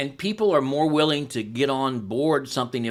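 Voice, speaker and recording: On a very clean recording with a silent background, a man uses a normal speaking voice at medium pitch and a fairly quick pace. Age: 60s. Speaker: pastor and church replanter. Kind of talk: podcast interview.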